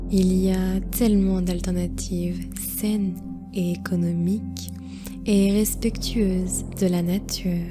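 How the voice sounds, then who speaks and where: Music plays in the background as the speaker talks at a very slow pace in a calm, soothing tone. The loudness stays very even. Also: woman. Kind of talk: guided meditation narration.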